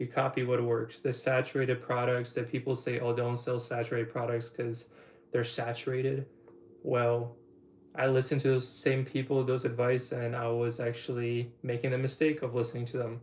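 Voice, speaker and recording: The voice carries a slight Polish accent and is somewhat breathy. Its intonation is flat and monotone. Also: man, medium pitch for a man, moderate pace. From Poland. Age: 20s. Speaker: online business coach. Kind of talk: livestream Q&A. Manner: casual rambling.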